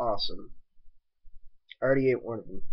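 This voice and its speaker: A man is speaking. His intonation is fairly even. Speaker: birthday vlogger. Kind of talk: casual talk to camera. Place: home room. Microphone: webcam.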